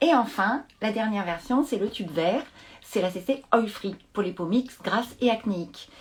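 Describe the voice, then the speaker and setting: A woman's somewhat breathy voice, fairly high in pitch, with lively intonation at a fairly slow pace. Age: 50s. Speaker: beauty brand expert. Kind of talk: live product demonstration. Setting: live stream from home.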